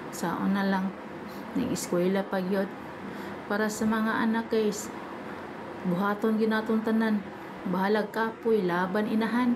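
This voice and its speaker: A woman with a Philippine accent speaks at a fairly slow pace with fairly high pitch, monotone, flat intonation, very even loudness and long, frequent pauses, amid noticeable background noise and audible room echo. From Visayas, Philippines. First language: Cebuano (speaking Tagalog). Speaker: vlogger, overseas domestic worker. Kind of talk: casual vlog chat. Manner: halting, stumbling speech.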